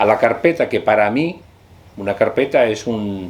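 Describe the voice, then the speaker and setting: This man's speech carries lively intonation. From Chile. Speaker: linguistics professor. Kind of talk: interview answer.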